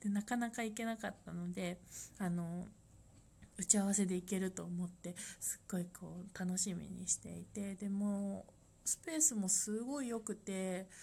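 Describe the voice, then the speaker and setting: A woman speaks at a medium pitch and moderate pace, her tone dark and mellow. Her voice is somewhat breathy, with ordinary pitch variation. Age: 30s. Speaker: life design consultant. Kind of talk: solo podcast monologue. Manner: halting, with many fillers.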